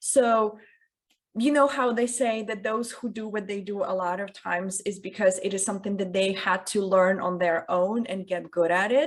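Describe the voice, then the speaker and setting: Her medium-pitched speech keeps a moderate pace, with ordinary pitch variation. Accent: non-native. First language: not English. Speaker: communication coach. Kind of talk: interview.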